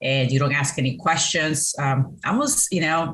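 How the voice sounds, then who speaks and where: Very deep and low in pitch, a woman speaks with a Colombian accent at a fairly slow pace. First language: Spanish. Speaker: business owner, CEO and Navy veteran. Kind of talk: interview. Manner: hesitant, many fillers.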